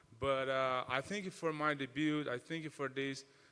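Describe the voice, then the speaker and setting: A man with a Portuguese accent, a fairly high pitch, a bright, sharp tone and fairly even intonation. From Brazil. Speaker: mixed martial arts fighter. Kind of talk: interview. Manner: halting, many repetitions.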